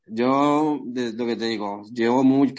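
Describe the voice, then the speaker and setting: Set against a quiet background, the voice keeps a fairly even intonation. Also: man. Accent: Bogotá. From Colombia, Bogotá. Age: 20s. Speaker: amateur MMA fighter. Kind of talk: interview. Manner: halting, repetitive.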